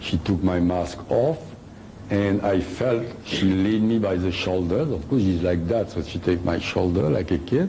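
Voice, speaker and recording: In a French accent, a man with a very deep, low pitch talks fairly slowly with ordinary pitch variation amid audible room echo. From France. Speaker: author and lecturer. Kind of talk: lecture. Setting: hall with live audience. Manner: halting.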